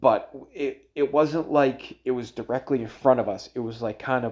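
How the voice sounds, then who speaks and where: The voice has a Boston accent. Its intonation is fairly even. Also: man. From Boston area, Massachusetts (Everett). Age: 30s. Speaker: solo podcast host. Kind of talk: casual monologue. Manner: halting, many fillers and restarts.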